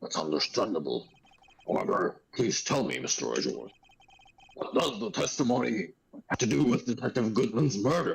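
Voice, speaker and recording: This man puts on a character voice at a medium pitch. He keeps a moderate pace. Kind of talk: courtroom speech. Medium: game stream. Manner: formal but hesitant.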